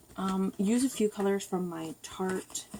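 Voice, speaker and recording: A woman talks with fairly even intonation against noticeable background noise. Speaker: beauty vlogger. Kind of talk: makeup tutorial. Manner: hesitant, many fillers. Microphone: far from the camera.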